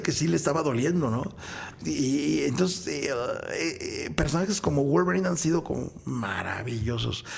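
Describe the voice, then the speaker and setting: Moderate-paced speech from a man, amid noticeable background noise. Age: 50s. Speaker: voice actor. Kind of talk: interview.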